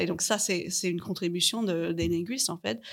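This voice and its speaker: A woman speaks with vocal fry in a fairly low pitch. Her pitch varies in an ordinary way. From Canada. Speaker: linguistics researcher. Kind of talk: panel interview. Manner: halting, many repetitions.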